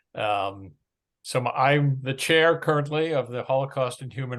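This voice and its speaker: In an American accent, a man talks at a moderate pace with a medium pitch, ordinary pitch variation and a normal speaking voice. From United States. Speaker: nonprofit chairman. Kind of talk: talk at an online meeting.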